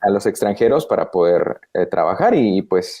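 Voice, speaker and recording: A man speaks at a fairly slow pace. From Guatemala. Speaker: voice actor. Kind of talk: interview answer.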